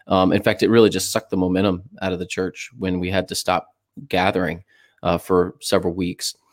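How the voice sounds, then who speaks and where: A man with an American accent speaks at a very deep, low pitch and a fairly quick pace, his intonation monotone and flat. The sound is dry and close with no echo. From Florida, St. Petersburg. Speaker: pastor and author. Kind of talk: casual interview. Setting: audio-only remote call.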